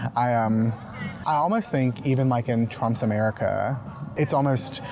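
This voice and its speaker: A man with a Southern US accent speaks at a medium pitch with ordinary pitch variation. Noticeable background noise runs underneath. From Mississippi. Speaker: podcast host and journalist. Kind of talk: interview; scripted narration. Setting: outdoors.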